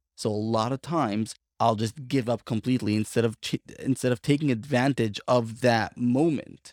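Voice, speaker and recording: A man with an American accent and a plain, everyday voice speaks at a medium pitch with fairly even intonation and hardly any pauses, his sound dry and close with no echo in a very clean recording with a silent background. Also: moderate pace. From Brooklyn, New York. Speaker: podcast co-host, life coach. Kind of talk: casual interview conversation.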